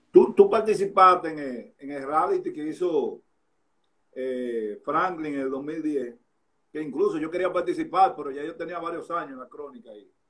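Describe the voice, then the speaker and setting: Against a quiet background, a man speaks at a moderate pace with a fairly high pitch, ordinary pitch variation and big swings in loudness. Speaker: sports interviewer host. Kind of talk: live interview chat. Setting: Instagram live, remote. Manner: casual, jokey, chatty. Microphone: phone near.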